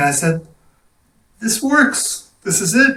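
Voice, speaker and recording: Moving at a fairly slow pace, a man's voice swings very widely in pitch. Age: 70s. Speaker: film composer. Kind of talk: casual chat.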